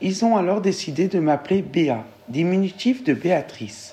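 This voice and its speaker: A woman at medium pitch, fairly slow, with lively intonation and an ordinary speaking voice. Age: 40s. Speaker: interviewee sharing a discrimination story. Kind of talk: testimony.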